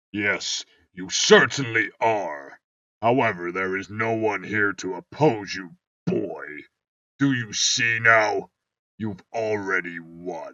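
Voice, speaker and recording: A man's put-on character voice, fairly low in pitch, at a fairly slow pace with ordinary pitch variation and big swings in loudness. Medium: read story. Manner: measured, cold.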